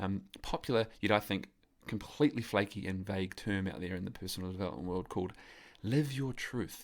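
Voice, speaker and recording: A man talks with a New Zealand accent at a fairly quick pace. His pitch variation is ordinary. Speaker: podcast host, men's coach. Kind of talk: podcast interview. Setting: call with remote guest.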